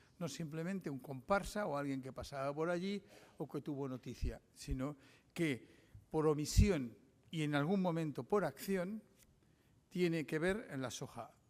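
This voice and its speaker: A man with a fairly high voice, talking fairly slowly with long, frequent pauses and ordinary pitch variation, in a very clean recording with a silent background. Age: 60s. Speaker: journalist giving a lecture. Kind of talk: lecture. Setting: conference with audience. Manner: halting.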